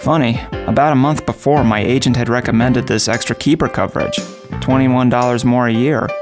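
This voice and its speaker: Clear music plays in the background as a man talks at a fairly quick pace with fairly even intonation. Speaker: voice actor. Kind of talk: TV commercial read. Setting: studio. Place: booth.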